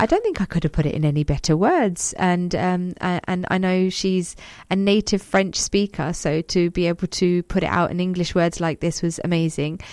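A woman speaks at a moderate pace with a fairly low pitch. Her intonation is fairly even and her loudness very even. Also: very clean recording, silent background. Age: 40s. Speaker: community radio host. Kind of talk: radio talk show, reading listener messages. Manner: hesitant, many fillers.

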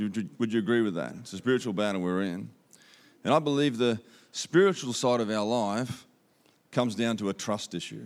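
With an Australian accent and ordinary pitch variation, a man speaks on a very clean recording with a silent background. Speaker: visiting speaker. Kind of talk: sermon. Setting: church.

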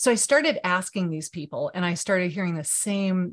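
A woman speaks at a fairly quick pace in a medium pitch, with an unremarkable speaking voice. The background is quiet. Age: 50s. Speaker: video marketing coach and author. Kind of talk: interview.

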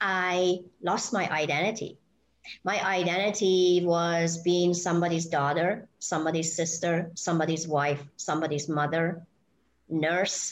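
Speaking at a fairly slow pace in a Persian accent, a woman keeps her fairly low voice monotone and flat, with very even loudness throughout. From Iran. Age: 60s. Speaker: spiritual healer and hypnotherapist. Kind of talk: casual interview. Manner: halting, many fillers.

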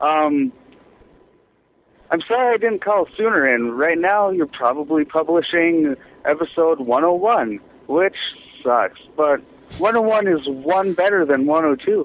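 A man's fairly high voice, lively in intonation, at a fairly slow pace

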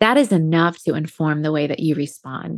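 The sound is dry and close, with no echo. It is an ordinary speaking voice with an American accent. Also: woman. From US Midwest, Indiana. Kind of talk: faith testimony in casual interview. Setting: video call.

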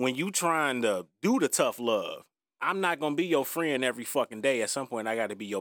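A man's medium-pitched voice, fairly quick in pace, with lively intonation. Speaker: podcast co-host. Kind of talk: casual chat.

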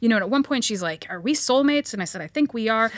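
Very fast and with lively intonation, a woman speaks in a fairly high voice with an American accent. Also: dry, close sound with no echo. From Los Angeles, US. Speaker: working mother and lawyer. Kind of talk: casual chat.

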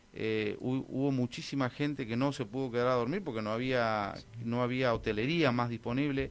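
A man's voice at a moderate pace, with hardly any pauses and fairly even intonation. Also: medium pitch for a man. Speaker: festival organizer. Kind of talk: radio interview. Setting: radio studio. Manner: halting.

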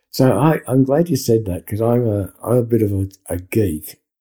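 A man with an Australian accent speaks at a moderate pace in a dark, mellow, somewhat breathy tone, with a fairly low pitch and ordinary pitch variation. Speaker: podcast co-host. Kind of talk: interview conversation. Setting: video call.

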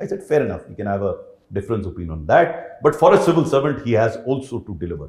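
Talking at a very fast pace, a man with a medium pitch and vocal fry makes very wide pitch swings and big swings in loudness. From India, Uttar Pradesh. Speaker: retired civil servant. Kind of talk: interview.

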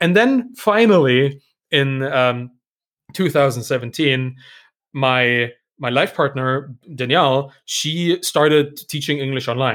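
In a very clean recording with a silent background, a man with a German accent and a fairly high pitch speaks at a very slow pace with ordinary pitch variation. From Germany. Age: 30s. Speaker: startup founder, author and podcaster. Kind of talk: casual interview chat. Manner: hesitant, repeats words.

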